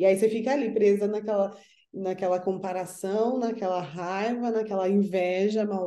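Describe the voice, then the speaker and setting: A woman with a dark, mellow tone talks at a moderate pace with fairly even intonation, and audible room echo surrounds her voice. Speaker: spiritual counselor. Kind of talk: casual chat.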